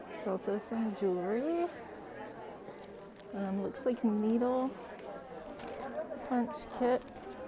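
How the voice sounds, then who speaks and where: Over crowd noise and audible room echo, a woman speaks very slowly at fairly high pitch, with long, frequent pauses and ordinary pitch variation. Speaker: fiber arts vlogger. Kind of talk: vlog walkthrough. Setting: indoors in a festival barn.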